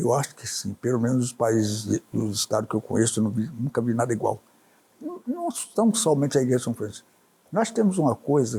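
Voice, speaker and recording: With lively intonation and a dark, mellow, somewhat breathy tone, a man talks at medium pitch and moderate pace. The sound is dry and close, with no echo. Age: 80s+. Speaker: businessman and journalist. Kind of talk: interview answer.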